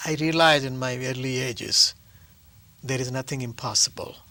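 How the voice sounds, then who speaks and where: With an Indian accent, a man speaks at a moderate pace in a bright, sharp tone and fairly even intonation. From South India. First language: Telugu. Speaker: actor and playwright. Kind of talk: interview. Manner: halting.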